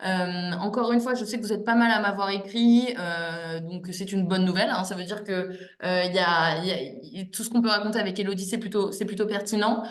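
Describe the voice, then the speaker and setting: A woman of medium pitch talks at a fairly quick pace with ordinary pitch variation, amid noticeable background noise and audible room echo. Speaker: exam prep coach. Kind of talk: online class wrap-up. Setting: video call. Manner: smiling, warm; halting, many repetitions.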